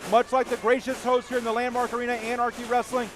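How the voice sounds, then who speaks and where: A man talks in a flat monotone at an extremely high pitch. His pace is very fast, with noticeable background noise behind him. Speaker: wrestling commentator. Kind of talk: live pro wrestling commentary.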